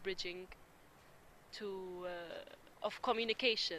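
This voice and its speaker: The speaker has an Arabic accent and a bright, sharp tone. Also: woman. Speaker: interviewee on intercultural dialogue. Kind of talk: interview.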